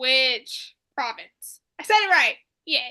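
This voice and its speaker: Here a woman speaks with an American accent in a raised, projected voice. Her tone is bright and sharp. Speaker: podcast co-host. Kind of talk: casual chat.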